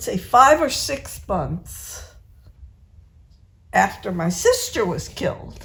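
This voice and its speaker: Using an American accent, a woman speaks at a very slow pace, leaving long, frequent pauses. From New England, Massachusetts. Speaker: family elder, interviewee. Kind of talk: family interview. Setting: at a family home.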